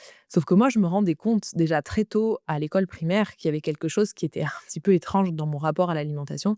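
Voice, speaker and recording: Very fast and with hardly any pauses, a woman with a fairly low pitch and a dark, mellow tone speaks with big swings in loudness and ordinary pitch variation, the sound dry and close with no echo. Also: very clean recording, silent background. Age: 30s. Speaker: podcast host, eating disorder coach. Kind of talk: personal testimony. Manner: hesitant with fillers.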